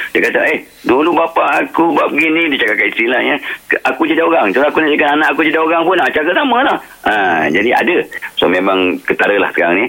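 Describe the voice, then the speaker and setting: Talking at a very fast pace, a man keeps his loudness very even over noticeable background noise. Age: old. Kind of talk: radio interview.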